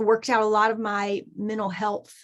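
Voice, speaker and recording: A woman speaks in a Southern US accent at a fairly slow pace. Her voice is fairly high. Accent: Southern US (Georgia). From US South, Southeast Georgia. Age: 40s. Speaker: artist and journaling teacher. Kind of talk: podcast interview.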